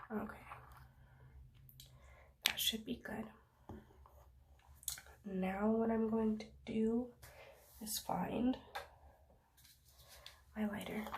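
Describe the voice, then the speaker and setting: Over noticeable background noise, a woman with a fairly high pitch and a relaxed tone talks at a very slow pace, her intonation monotone and flat, with long, frequent pauses. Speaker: energy healer roleplay. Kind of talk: ASMR roleplay, personal attention. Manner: soft-spoken, calming, relaxed.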